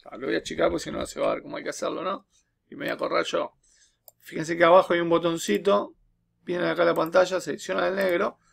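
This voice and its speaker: Against a quiet background, a man with a Uruguayan accent speaks at a very fast pace. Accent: Rioplatense Spanish (Uruguayan). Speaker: teacher making programming tutorials; teacher. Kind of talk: tutorial. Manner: casual, with frequent fillers and repetitions. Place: home room. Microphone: webcam.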